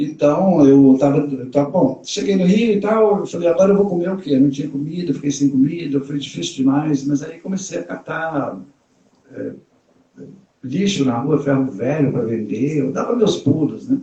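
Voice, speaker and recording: At a moderate pace, a man with an unremarkable speaking voice talks at a fairly high pitch with lively intonation. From Brazil, Minas Gerais (Raposos, near Belo Horizonte). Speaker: bag designer and entrepreneur. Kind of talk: interview on a live stream. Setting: online live stream.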